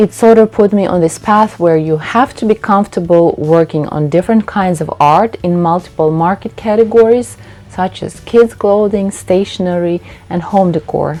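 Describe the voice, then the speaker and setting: A woman in a Russian accent speaks at a moderate pace with ordinary pitch variation. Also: medium pitch for a woman. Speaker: textile designer and painter. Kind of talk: youtube talking-head tutorial.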